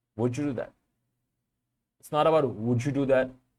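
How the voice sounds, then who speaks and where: This is a man speaking with a Bengali accent. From Bangladesh. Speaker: vlogger. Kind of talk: casual monologue to camera. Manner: halting, many repetitions.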